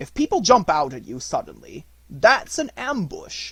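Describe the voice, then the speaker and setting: A man puts on a character voice at an extremely high pitch. His tone is pompous. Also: moderate pace. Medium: read story. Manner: pompous, superior.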